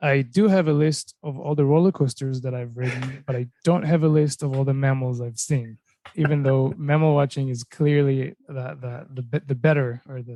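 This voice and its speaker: A man with an unremarkable speaking voice and fairly high pitch talks at a moderate pace with fairly even intonation and hardly any pauses, recorded dry and close with no echo. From Israel, moved to US at twelve. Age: 30s. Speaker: mechanical engineer, wildlife enthusiast. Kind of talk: podcast interview.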